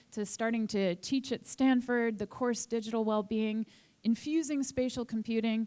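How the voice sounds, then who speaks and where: In a plain, everyday voice, a woman speaks at a moderate pace with a fairly high pitch and fairly even intonation. The recording is very clean, with a silent background. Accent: American. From Boston, US. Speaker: author and lecturer. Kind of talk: conference talk.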